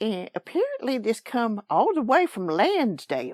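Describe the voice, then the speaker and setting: Shrill put-on character voice at a fairly high pitch and moderate pace. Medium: actual play. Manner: rambling, folksy.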